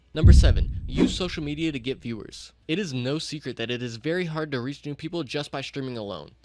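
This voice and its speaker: A man talks at a very fast pace with hardly any pauses, his loudness swinging widely and his pitch varying in an ordinary way over noticeable background noise. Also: fairly high pitch for a man. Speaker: streaming coach YouTuber. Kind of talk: tutorial. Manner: blunt, direct.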